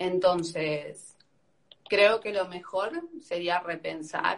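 Her voice is fairly low for a woman, with monotone, flat intonation. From Argentina. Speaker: activist debating the host. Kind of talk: heated debate.

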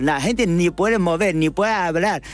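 With lively intonation and a Chinese accent, a man speaks at a moderate pace over noticeable background noise. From China. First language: Chinese (speaking Spanish). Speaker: restaurant manager. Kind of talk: panel interview. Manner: halting.

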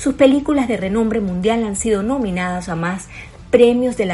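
Over noticeable background noise, a woman speaks at a fairly quick pace. Her intonation is lively. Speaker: news presenter. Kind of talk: news reading. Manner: serious.

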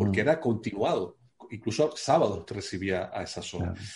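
A man speaks at a fairly quick clip, his pitch varying in an ordinary way. His voice is somewhat breathy. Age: 60s. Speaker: addiction therapist. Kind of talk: casual panel discussion.

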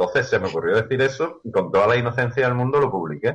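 A man with a medium-pitched voice talks at a very fast pace, sounding somewhat breathy. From Andalusia, Seville. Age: 50s. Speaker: youtuber. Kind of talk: interview.

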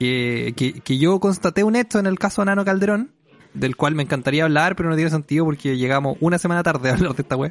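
A very fast pace in a Chilean accent, lively intonation and very even loudness. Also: man, fairly high pitch for a man. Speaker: podcast host. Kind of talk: casual chat.

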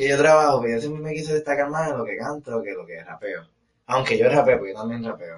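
At a very fast pace, a man speaks with big swings in loudness. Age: 20s. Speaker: urban music singer. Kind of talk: casual interview.

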